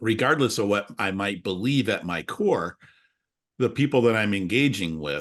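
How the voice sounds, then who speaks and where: Against a quiet background, an unremarkable speaking voice moves at a moderate pace with lively intonation. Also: man. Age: 60s. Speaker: podcast host. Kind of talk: casual chat.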